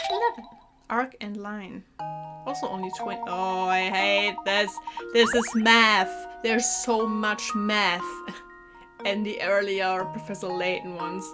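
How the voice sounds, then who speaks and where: A woman speaks at a fairly slow pace with long, frequent pauses. Her pitch varies in an ordinary way, and music plays in the background. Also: medium pitch for a woman. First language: not English. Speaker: gaming YouTuber. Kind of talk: casual gameplay commentary, reading game text aloud.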